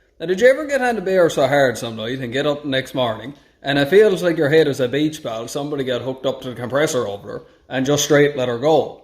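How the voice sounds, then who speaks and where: Talking at a very fast pace, a man with a fairly high voice speaks in a Newfoundland accent with ordinary pitch variation. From Newfoundland, Canada. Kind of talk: casual talk to camera.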